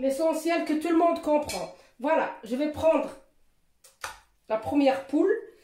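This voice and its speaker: Slowly paced speech from a woman carries audible room echo. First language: Moroccan Arabic (speaking French). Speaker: cooking youtuber. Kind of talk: cooking tutorial. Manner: halting.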